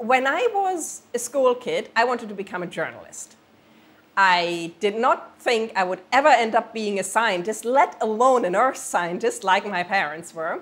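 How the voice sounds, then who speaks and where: With a German accent, a woman speaks at a moderate pace with a fairly high pitch and lively intonation. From Germany. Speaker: planetary scientist. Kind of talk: interview.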